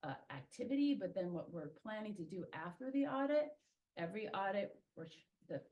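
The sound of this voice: A woman speaks at a moderate pace with a medium pitch. Her pitch swings widely.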